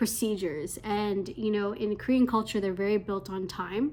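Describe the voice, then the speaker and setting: A woman speaks at a medium pitch with a Canadian accent. She mumbles her words. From Canada. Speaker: English teacher abroad. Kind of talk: casual talk to camera. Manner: hesitant, mumbling.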